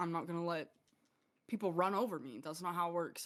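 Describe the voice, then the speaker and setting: With an animated tone, a woman speaks at a fairly low pitch and with ordinary pitch variation. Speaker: streamer and gamer. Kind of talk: casual chat. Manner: loud.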